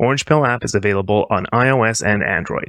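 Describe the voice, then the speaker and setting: Against a quiet background, a man with a plain, everyday voice speaks at a moderate pace with ordinary pitch variation. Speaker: podcast co-host. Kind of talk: scripted intro and outro reading.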